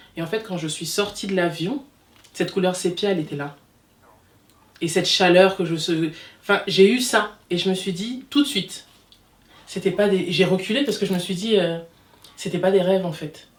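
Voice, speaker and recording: At a moderate pace, a woman with a medium pitch speaks in an animated tone, leaving long, frequent pauses. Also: ordinary pitch variation. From DR Congo, raised in France from 18 months. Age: 30s. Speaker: hairdresser. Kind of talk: casual interview.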